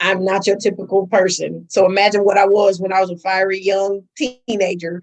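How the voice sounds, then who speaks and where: A woman talks fairly quickly with an American accent and hardly any pauses. Her tone is animated and her pitch is medium. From US Midwest, Milwaukee. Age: 50s. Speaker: school administrator and actress. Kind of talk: interview.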